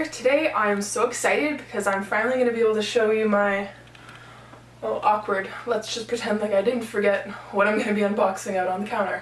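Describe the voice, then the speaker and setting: Over noticeable background noise, a woman speaks at a fairly high pitch with fairly even intonation. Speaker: reseller. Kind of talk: casual talk to camera.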